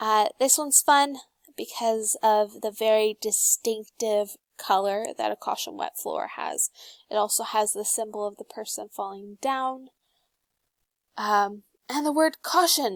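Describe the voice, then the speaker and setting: A woman with a normal speaking voice and fairly high pitch talks at a moderate pace with big swings in loudness, in a dry, close sound with no echo on a very clean recording with a silent background. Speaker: student presenter. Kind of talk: class presentation.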